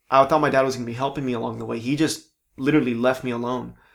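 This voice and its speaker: A man with an American accent speaks at medium pitch with fairly even intonation. He has a plain, everyday voice, captured on a very clean recording with a silent background. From Southern California (Palm Springs). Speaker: actor. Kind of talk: casual chat.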